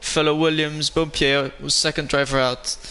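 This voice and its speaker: A man speaks with a non-native accent. His voice is fairly high. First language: not English. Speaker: sim racing league commentator. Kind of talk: live commentary. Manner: casual, hesitant.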